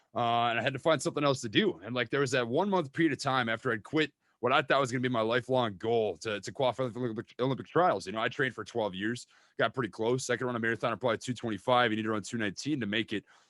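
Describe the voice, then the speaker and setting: A man talks in an animated tone with a Minnesota accent, medium pitch and ordinary pitch variation. The sound is dry and close with no echo, on a very clean recording with a silent background. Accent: Minnesota accent, drawn-out vowels. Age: 20s. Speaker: stock trading YouTuber. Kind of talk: casual interview chat. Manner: animated, repeats words.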